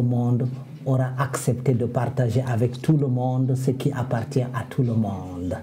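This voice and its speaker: The speaker has a West African accent and a fairly slow pace, with fairly even intonation. Music plays in the background, and audible room echo surrounds the voice. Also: man. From Senegal. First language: Fula (speaking French). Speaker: comedian and storyteller. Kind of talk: interview.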